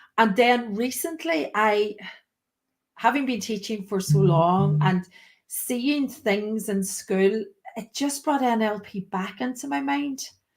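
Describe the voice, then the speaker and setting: Very slowly, a woman speaks in a fairly high, somewhat breathy voice with very wide pitch swings. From Ireland, County Donegal. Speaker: teacher. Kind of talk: interview.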